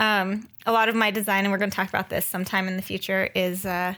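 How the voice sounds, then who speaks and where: A woman speaks at a fairly quick pace in a bright, sharp tone. The recording is very clean, with a silent background. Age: 30s. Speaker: podcast co-host, graphic designer. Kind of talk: casual chat. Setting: studio recording, also on video.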